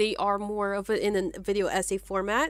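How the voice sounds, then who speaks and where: An American accent from a woman, medium pitch, bright, sharp tone, very clean recording with a silent background. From US, Haitian American family. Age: 20s. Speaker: gaming YouTuber. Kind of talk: casual commentary while gaming. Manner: halting.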